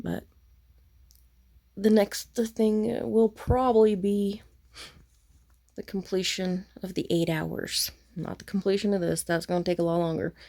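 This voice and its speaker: With a dark, mellow tone, a woman speaks at a fairly slow pace, leaving long, frequent pauses. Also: ordinary pitch variation. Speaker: crafting vlogger. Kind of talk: casual vlog monologue. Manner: soft-spoken, talking low.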